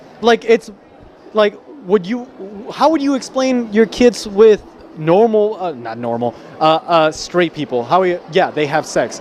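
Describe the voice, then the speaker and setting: In a high pitch with very wide pitch swings, a man talks at a fairly slow pace with long, frequent pauses over noticeable background noise. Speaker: convention vlogger. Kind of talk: casual chat. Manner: animated.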